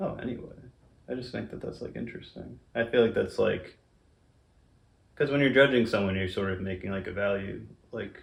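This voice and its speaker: Audible room echo surrounds a man who talks at a fairly quick pace with vocal fry, ordinary pitch variation, big swings in loudness, and long, frequent pauses. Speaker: interview guest, friend of host. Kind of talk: casual interview chat. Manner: low cadence, little enunciation.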